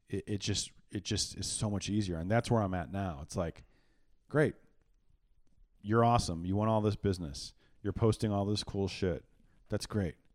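A man talks at a moderate pace with a fairly low pitch, ordinary pitch variation and long, frequent pauses. The sound is dry and close with no echo, on a very clean recording with a silent background. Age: 40s. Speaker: marketing agency founder. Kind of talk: casual chat. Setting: studio.

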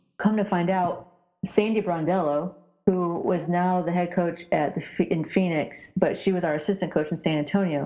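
A woman at a moderate pace, fairly low in pitch, with fairly even intonation and music in the background. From rural Indiana, US Midwest. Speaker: former professional basketball player. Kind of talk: interview.

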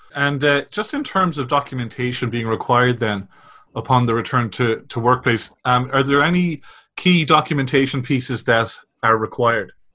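A man with an Irish accent speaks at a medium pitch and moderate pace, with ordinary pitch variation and a bright, sharp tone. The recording is very clean, with a silent background. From Republic of Ireland. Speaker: podcast host. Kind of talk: interview.

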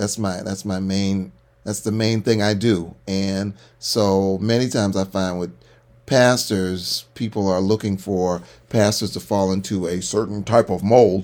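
A man with an unremarkable speaking voice talks at a fairly slow pace, fairly low in pitch. His intonation is fairly even, and the recording is very clean with a silent background. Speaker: podcast co-host, pastor. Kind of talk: casual chat.

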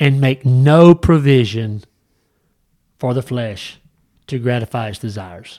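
A man with a Southern US accent speaks at a medium pitch and a fairly slow pace, his dark, mellow tone swinging widely in loudness and broken by long, frequent pauses, all on a very clean recording with a silent background. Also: ordinary pitch variation. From US South. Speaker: podcast host, Bible study. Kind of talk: casual Bible discussion. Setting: studio.

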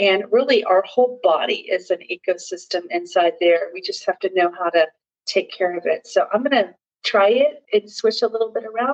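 Lively intonation colors a normal speaking voice at a moderate pace, with a dry, close sound and no echo. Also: woman, medium pitch for a woman. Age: 50s. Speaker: wellness podcaster and video host. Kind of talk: casual product review vlog. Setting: home guest bathroom. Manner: casual with frequent fillers.

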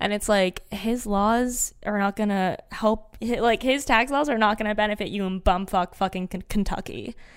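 A woman speaks in a normal speaking voice, fairly high in pitch, with fairly even intonation at a moderate pace. She leaves hardly any pauses, and the recording is very clean with a silent background. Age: 20s. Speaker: podcast co-host. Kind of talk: casual chat.

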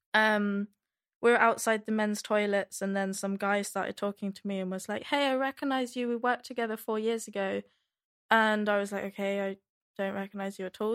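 A woman's fairly high, flat, monotone voice with a British accent, dry and close with no echo, on a very clean recording against a silent background. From UK. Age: 20s. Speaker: podcast guest. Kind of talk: casual chat.

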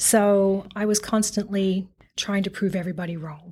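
A woman with an Australian accent at medium pitch, on a very clean recording with a silent background. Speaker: retail executive. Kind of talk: interview.

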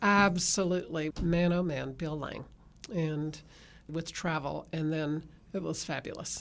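A woman speaks at a very deep, low pitch and a fairly slow pace. Her intonation stays fairly even on a very clean recording with a silent background. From Texas. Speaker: podcast host, parenting ministry leader. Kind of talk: casual chat. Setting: studio.

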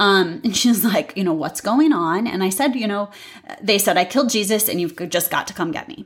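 With an American accent and an ordinary speaking voice, a woman talks at a fairly quick pace with lively intonation and medium pitch in a very clean recording with a silent background. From US Midwest, St. Louis County, Missouri. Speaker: podcast host. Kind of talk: solo monologue podcast.

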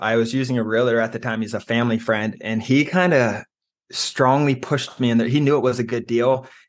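Over a quiet background, a man talks in an ordinary speaking voice with a medium pitch. His pace is fairly quick and his intonation fairly even. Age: 20s. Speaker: real estate investor. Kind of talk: interview.

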